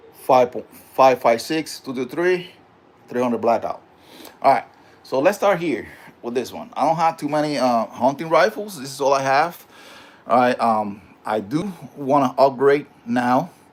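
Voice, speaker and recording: A man with a fairly high pitch and a slight Puerto Rican accent talks at a moderate pace, with lively intonation and long, frequent pauses. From Puerto Rico. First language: Spanish. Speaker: gun channel host. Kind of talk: casual livestream talk. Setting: home livestream. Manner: halting, many fillers.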